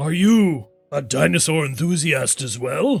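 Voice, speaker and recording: A man puts on a raspy character voice. It sits fairly high in pitch and moves at a fairly slow pace. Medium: actual play. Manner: excitable, theatrical.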